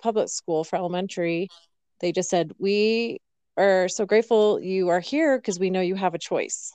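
This is a normal speaking voice with an American accent at a moderate pace. Loudness stays very even, intonation is fairly even, and the sound is dry and close with no echo. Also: woman. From Colorado. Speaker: podcast host. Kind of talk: casual chat.

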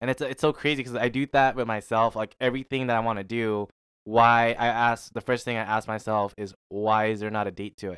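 A man speaks fairly quickly at medium pitch with fairly even intonation, in an unremarkable speaking voice. The recording is very clean, with a silent background. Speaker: podcast host. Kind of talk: casual chat.

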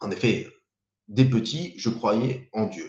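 Slowly and deliberately, a man speaks at a very slow pace with a dark, mellow tone. His medium-pitched voice is somewhat breathy. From French Riviera, Saint-Laurent-du-Var. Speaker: YouTuber and small business owner. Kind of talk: live stream monologue. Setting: live video stream. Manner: hesitant, many repetitions and fillers.

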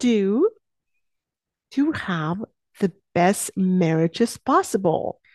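With a dark, mellow tone, a woman speaks at a very slow pace with very wide pitch swings, the sound dry and close with no echo against a quiet background. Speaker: life coach and podcast host. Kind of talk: solo podcast monologue.

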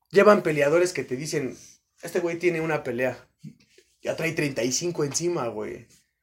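With a Mexican accent, a man speaks at a fairly high pitch and ordinary pitch variation. His pace is fairly slow, with long, frequent pauses. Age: 20s. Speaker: boxing coach and nurse. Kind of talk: casual chat.

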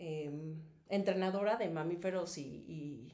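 A woman speaks at a fairly slow pace with a Mexico City accent. Room echo is audible. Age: 40s. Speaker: former dolphin trainer and advertising model. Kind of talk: casual interview.

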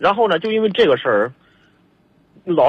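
A man is speaking here. He talks with a Hebei accent. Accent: regional Hebei accent noted. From Hebei, China. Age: 30s. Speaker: caller. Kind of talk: phone-in advice call. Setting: phone call. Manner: halting, stammering.

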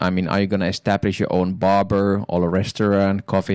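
A man with a very deep, low pitch talks in a flat monotone, the recording very clean with a silent background and a dry, close sound free of echo. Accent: Finnish. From Finland. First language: Finnish. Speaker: education professional and nonprofit founder. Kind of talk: interview.

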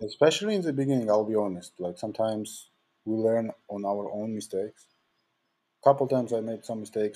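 In a Georgian accent, a man with a medium pitch and a dark, mellow tone speaks at a fairly quick pace with ordinary pitch variation. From Georgia (country). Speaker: talent manager and music producer. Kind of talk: interview.

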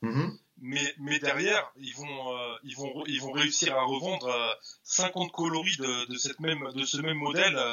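A man speaks with a fairly high pitch. Noticeable background noise runs underneath. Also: fairly even intonation, fairly slow pace. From Paris southern suburbs (Villeneuve-Saint-Georges). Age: 40s. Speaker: sneaker reseller and shop owner. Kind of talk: casual interview chat. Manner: halting, many repetitions.

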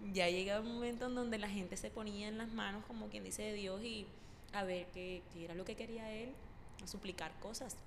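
Amid noticeable background noise and audible room echo, a woman at medium pitch speaks at a moderate pace with fairly even intonation. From Córdoba, Colombia. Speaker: podcast co-host, university student. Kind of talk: casual chat. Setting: empty university room.

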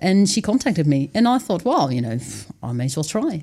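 A woman with a Dutch accent has a very deep, low pitch and a dark, mellow tone. The recording is very clean, with a silent background. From Netherlands. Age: 30s. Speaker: author and wilderness dweller. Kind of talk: casual interview. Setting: studio.

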